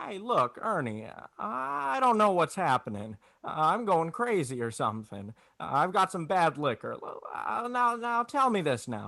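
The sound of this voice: Man's put-on character voice, high-pitched and bright, sharp, with vocal fry, big pitch swings and a fairly slow pace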